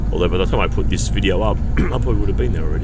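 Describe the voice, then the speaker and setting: A man's very deep, low voice with audible room echo and noticeable background noise. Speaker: vlogger. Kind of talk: travel commentary. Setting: on a bus. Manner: soft-spoken.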